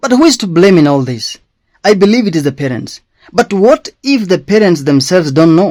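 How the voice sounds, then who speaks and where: Speaking at a fairly quick pace with a Kenyan accent, a man uses a high pitch for a man and very wide pitch swings. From Kenya, Kikuyu. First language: Kikuyu. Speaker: schoolteacher. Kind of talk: personal commentary monologue.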